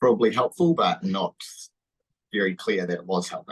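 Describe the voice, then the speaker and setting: A man with a New Zealand accent at a moderate pace, the sound dry and close with no echo. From New Zealand, Wanganui. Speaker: sports massage therapist. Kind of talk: interview. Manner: hesitant, casual.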